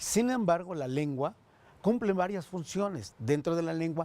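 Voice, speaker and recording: With a dark, mellow tone, this man delivers his words at a moderate pace. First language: Totonac (speaking Spanish). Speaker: education official. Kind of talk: tv interview. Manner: hesitant, many fillers.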